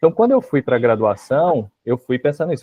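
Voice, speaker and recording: A man talks with a Rio de Janeiro accent. His pace is fairly quick. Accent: Rio de Janeiro accent, hissing s. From Rio de Janeiro, Baixada Fluminense. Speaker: university history professor. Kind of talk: interview.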